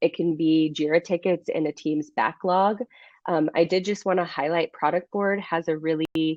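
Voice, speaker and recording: Delivery comes at a moderate pace with fairly even intonation. It is an unremarkable speaking voice. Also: woman, fairly low pitch for a woman. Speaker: research manager presenting at webinar. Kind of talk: webinar presentation.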